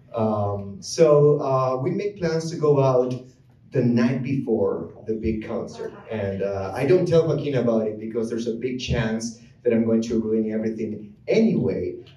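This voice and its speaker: There is audible room echo as a man talks, keeping a moderate pace. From Argentina. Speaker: musician, comedian, storyteller. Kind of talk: live comedic storytelling. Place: stage.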